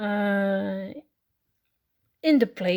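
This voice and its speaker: Recorded very cleanly against a silent background, a woman speaks with a Dutch accent. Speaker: miniature kit crafter. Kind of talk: unscripted unboxing talk to camera. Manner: hesitant, casual.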